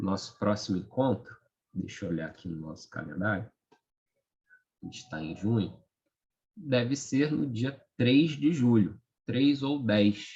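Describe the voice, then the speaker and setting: Soft-spoken and somewhat breathy, a man with a dark, mellow tone and a medium pitch talks at a fairly slow pace with lively intonation, big swings in loudness, and long, frequent pauses. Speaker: study group leader. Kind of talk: group discussion wrap-up.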